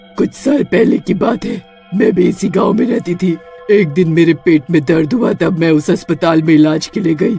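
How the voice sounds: Faint music plays behind a man doing a cartoonish character voice, pitched high for a man and delivered at a fairly quick pace.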